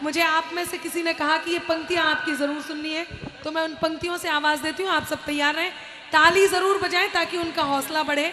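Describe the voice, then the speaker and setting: With noticeable background noise and audible room echo, a woman speaks at a moderate pace in a raised, projected voice that is extremely high-pitched, with monotone, flat intonation. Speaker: poet and stage host. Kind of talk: stage announcement. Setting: stage with audience.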